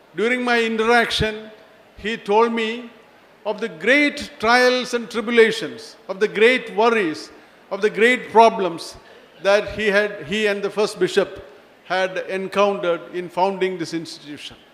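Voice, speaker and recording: Noticeable background noise sits behind a man with a high pitch. He speaks at a fairly slow pace with ordinary pitch variation. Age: 70s. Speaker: retired police chief, chief guest. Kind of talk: formal speech.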